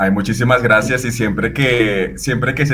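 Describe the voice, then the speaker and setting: A man's medium-pitched voice with a bright, sharp tone and ordinary pitch variation. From Venezuela. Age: 30s. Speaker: fashion photographer. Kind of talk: interview conversation. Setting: podcast.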